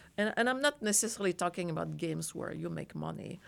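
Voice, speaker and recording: Very fast speech with a French accent, ordinary pitch variation, and a very clean recording over a silent background. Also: woman. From France. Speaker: design professor. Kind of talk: interview. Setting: studio.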